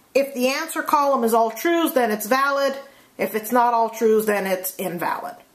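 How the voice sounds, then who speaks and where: With audible room echo, a woman speaks at a high pitch, a moderate pace and ordinary pitch variation. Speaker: math teacher. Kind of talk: lecture. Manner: casual with many fillers.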